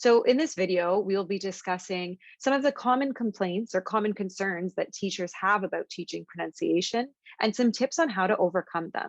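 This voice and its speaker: A woman with a Canadian accent speaks fairly quickly in a plain, everyday voice with ordinary pitch variation, the sound dry and close with no echo. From Canada. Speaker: ESL teacher, video host. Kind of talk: panel discussion; scripted introduction.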